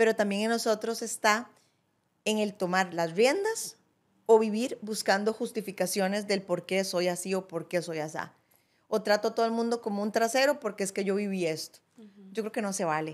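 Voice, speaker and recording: A woman with a Costa Rican accent talks at a moderate pace and medium pitch, with ordinary pitch variation. Her loudness swings widely. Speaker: podcast co-host. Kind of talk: casual conversational podcast chat. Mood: reflective, earnest. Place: studio. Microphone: studio mic.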